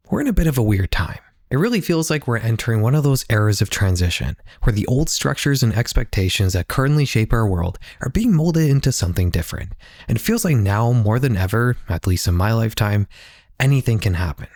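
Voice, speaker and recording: Very fast and somewhat breathy, a man speaks at medium pitch with lively intonation and very even loudness. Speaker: YouTube documentary creator. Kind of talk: scripted narration. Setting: home office.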